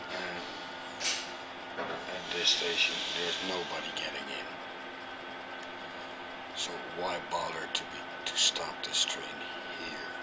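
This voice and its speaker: A man's very slow speech over loud background noise. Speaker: vlogger. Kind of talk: casual vlog chat. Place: train. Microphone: phone near.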